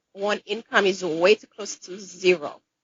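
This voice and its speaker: A woman speaks with a Caribbean accent. Her pace is moderate and her pitch variation ordinary. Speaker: dentist. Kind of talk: interview.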